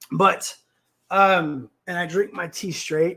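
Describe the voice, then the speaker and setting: A man's high-pitched voice with an American accent and a bright, sharp tone. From Texas. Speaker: livestream talk show host. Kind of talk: casual livestream chat reading comments. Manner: loud, abrupt.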